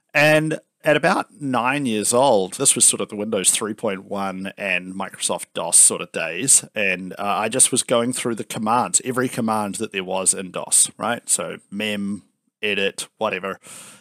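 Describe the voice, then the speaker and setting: Talking at a fairly slow pace in a New Zealand accent, a man has a bright, sharp tone in a dry, close sound with no echo. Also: fairly low pitch for a man, ordinary pitch variation. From New Zealand, Palmerston North. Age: 30s. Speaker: software company founder and CEO. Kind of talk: interview.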